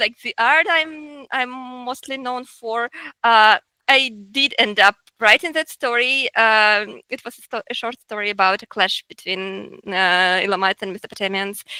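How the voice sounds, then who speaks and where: A bright, sharp voice with a Russian accent moves at a moderate pace with ordinary pitch variation, recorded dry and close with no echo. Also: woman, fairly high pitch for a woman. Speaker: researcher and artist. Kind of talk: interview. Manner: halting, many fillers and repetitions.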